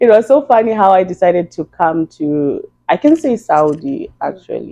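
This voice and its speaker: A woman with a Zimbabwean accent speaks at a moderate pace and medium pitch, her dark, mellow tone swinging very widely in pitch. The sound is dry and close, with no echo. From Zimbabwe (Gweru). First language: Shona. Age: 30s. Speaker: beautician. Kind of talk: podcast interview.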